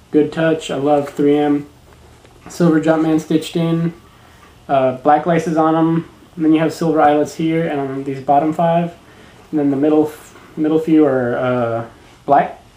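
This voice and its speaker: A man talks at a moderate pace, pausing often and at length, as room echo is audible around him. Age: 20s. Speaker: shoe review vlogger. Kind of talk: product review vlog. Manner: casual, hesitant with fillers. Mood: relaxed, enthusiastic. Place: home room. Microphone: webcam.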